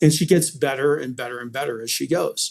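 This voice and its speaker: A man with an American accent and an ordinary speaking voice, fairly high in pitch, at a moderate pace with ordinary pitch variation. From Colorado. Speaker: podcast host. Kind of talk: interview.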